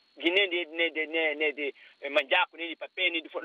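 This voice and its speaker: A man speaks at a moderate pace. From Guinea-Bissau. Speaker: engineer, radio caller. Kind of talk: phone-in opinion. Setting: phone call. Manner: animated.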